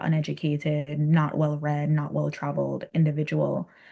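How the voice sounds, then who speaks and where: In a Virgin Islands accent, a woman speaks at a moderate pace with a very deep, low pitch and a dark, mellow tone over a quiet background. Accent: Virgin Islands Caribbean. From US Virgin Islands. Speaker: Caribbean culture and spirituality guest. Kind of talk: podcast interview.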